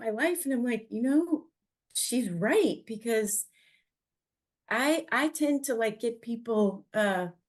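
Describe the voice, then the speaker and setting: In a Cleveland accent, a woman with a high voice speaks at a fairly slow pace with lively intonation. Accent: Cleveland, Ohio. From Ohio, Cleveland. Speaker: podcast host. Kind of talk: casual chat. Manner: halting.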